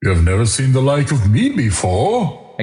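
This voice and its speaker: A man speaks in a put-on character voice at a moderate pace, his pitch medium. The tone is warm, with a clear echo around it. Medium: read story. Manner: hearty, booming, warm.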